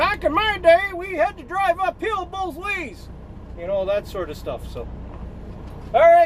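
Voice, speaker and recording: A man with an extremely high pitch speaks with lively intonation and big swings in loudness. He leaves long, frequent pauses over noticeable background noise. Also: fairly slow pace. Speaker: truck driver. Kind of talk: casual vlog. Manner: mumbling; sarcastic, joking.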